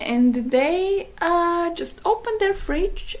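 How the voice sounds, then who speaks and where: With a non-native accent, the speaker moves very slowly through very wide pitch swings amid noticeable background noise. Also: woman. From Slovakia. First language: Slovak. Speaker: wellness content creator. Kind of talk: casual talk to camera. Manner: halting, many fillers.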